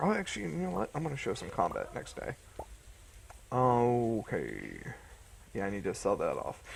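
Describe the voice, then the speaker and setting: Moderate pace broken by long, frequent pauses. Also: man. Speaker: gaming youtuber. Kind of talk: gameplay commentary. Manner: casual, hesitant; mumbling.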